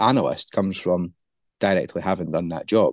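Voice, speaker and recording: A man with a Scottish accent speaks with ordinary pitch variation in a dry, close sound with no echo, over a quiet background. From Scotland. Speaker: football analyst and recruitment specialist. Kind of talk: interview, casual chat.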